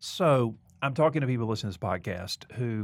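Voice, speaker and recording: On a very clean recording with a silent background, a man in a Southern US accent speaks with ordinary pitch variation. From US South, Mobile, Alabama. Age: 40s. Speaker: seminary president and podcast host. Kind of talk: casual interview conversation. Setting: studio.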